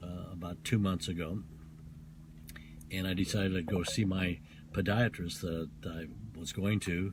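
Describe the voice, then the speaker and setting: A man with a very deep, low pitch talks at a moderate pace with fairly even intonation, a somewhat breathy quality, and long, frequent pauses. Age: 70s. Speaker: doctor and health author. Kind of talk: casual interview. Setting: in a car. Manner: halting.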